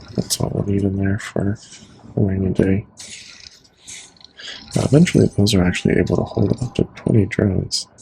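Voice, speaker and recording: Over noticeable background noise, a man with a fairly low pitch speaks in a calm tone at a moderate pace, with ordinary pitch variation and long, frequent pauses. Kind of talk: ASMR gaming commentary, casual talk to camera. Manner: soft-spoken, calm.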